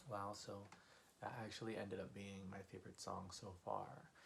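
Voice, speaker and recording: A man's quiet, somewhat breathy whispering at a moderate pace. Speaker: music reaction YouTuber. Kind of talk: casual talk to camera. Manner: whispered, quiet.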